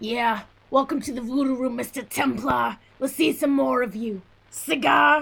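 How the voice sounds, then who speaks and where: Using a put-on character voice, a woman talks at a moderate pace in a high, raspy pitch with ordinary pitch variation. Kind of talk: 1940s radio acting. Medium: audio drama. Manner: smooth, showy.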